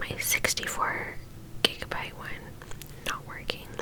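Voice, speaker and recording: A woman's whispering at a fairly slow pace, gentle in tone, with noticeable background noise. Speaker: ASMR creator. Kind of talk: casual talk to camera, mukbang chit chat. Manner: gentle, whispering.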